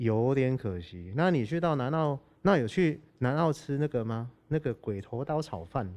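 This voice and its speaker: Speaking fairly slowly, a man uses a normal speaking voice. His medium pitch comes with lively intonation. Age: 30s. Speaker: band musician. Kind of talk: casual chat. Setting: recording near an air base.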